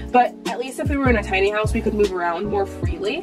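Over clear music in the background, a woman talks at a very fast pace. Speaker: vlogger. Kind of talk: casual vlog chat. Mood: frustrated ranting, frank. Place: home room. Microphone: camera far.

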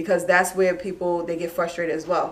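A woman talks with a New York accent. Her pace is very fast. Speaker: real estate broker; guest. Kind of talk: explaining a mortgage program in an interview. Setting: live online video stream. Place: meeting room. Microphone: camera far.

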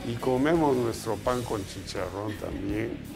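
With clear music in the background, a man talks at a medium pitch with ordinary pitch variation. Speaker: interviewed politician, president-elect. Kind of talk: interview answer. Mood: relaxed, joking. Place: home room.

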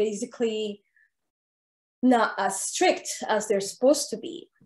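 Speaking at a fairly slow pace, the voice shows ordinary pitch variation, with audible room echo over a quiet background. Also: woman. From Saudi Arabia. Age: 30s. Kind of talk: interview. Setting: video call. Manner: nervous. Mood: calm, reflective. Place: home room. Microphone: webcam.

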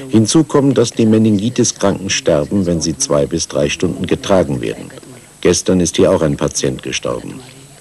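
A man's very deep, low voice with very wide pitch swings at a moderate pace, against noticeable background noise. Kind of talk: interview testimony, dubbed German voice-over.

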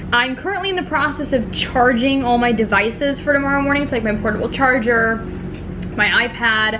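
Against noticeable background noise, a woman with a high pitch and ordinary pitch variation speaks at a fairly quick pace. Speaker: lifestyle vlogger. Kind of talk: casual vlog chat. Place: home room. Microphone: phone near.

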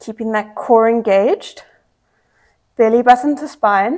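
At a fairly slow pace, a woman speaks with ordinary pitch variation over a quiet background. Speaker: fitness instructor. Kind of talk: workout instruction.

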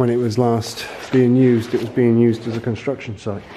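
Light background noise runs through the clip. Over it, a man talks. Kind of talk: casual vlog commentary. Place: hall. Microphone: phone near.

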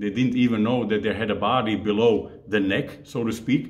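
The man keeps a moderate pace and varies his pitch in an ordinary way. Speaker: fitness coach. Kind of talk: casual vlog chat. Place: home room.

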